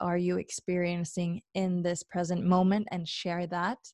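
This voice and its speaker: In a very clean recording with a silent background and a dry, close sound with no echo, a woman with a Norwegian accent speaks at medium pitch and a fairly slow pace in a dark, mellow tone. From Norway. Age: 20s. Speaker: podcast host. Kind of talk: solo monologue. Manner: hesitant, many fillers.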